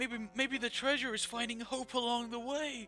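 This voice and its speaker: A man's put-on character voice, extremely high and flat in a monotone, raised and projected at a moderate pace over clear background music. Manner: dramatic, earnest.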